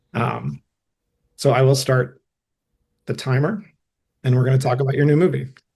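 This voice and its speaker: A somewhat breathy man with a dark, mellow tone and medium pitch talks at a moderate pace with ordinary pitch variation and long, frequent pauses. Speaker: podcast host. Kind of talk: interview.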